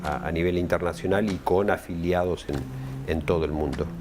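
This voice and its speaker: A man speaks at a moderate pace with a very deep, low pitch. Music plays in the background. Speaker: union official, former UN worker. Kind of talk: interview. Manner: halting, many repetitions and fillers.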